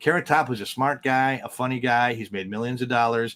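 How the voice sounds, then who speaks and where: A man with an American accent races along at a very fast pace. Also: dry, close sound with no echo. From US Midwest, Milwaukee, Wisconsin. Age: 60s. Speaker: stand-up comedian. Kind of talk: casual interview chat.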